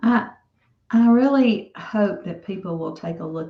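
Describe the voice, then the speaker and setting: Speaking at a fairly slow pace, a woman sounds somewhat breathy with a Southern US accent. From US South. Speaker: author. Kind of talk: interview.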